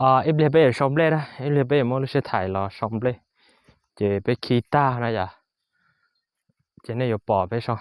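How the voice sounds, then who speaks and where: With a northern Vietnamese accent, a man speaks at a moderate pace and medium pitch, showing ordinary pitch variation and long, frequent pauses, on a very clean recording with a silent background. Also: dry, close sound with no echo. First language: Hmong (speaking Vietnamese). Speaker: vlogger, farmer. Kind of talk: casual vlog narration. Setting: outdoors on a farm. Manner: halting, many fillers.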